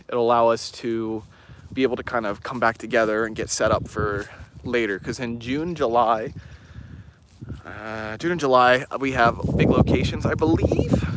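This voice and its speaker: The speaker uses fairly even intonation at a moderate pace. Noticeable background noise is present. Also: man, medium pitch for a man. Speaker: paranormal investigator and channel host. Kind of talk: casual live stream talk. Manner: hesitant, many fillers.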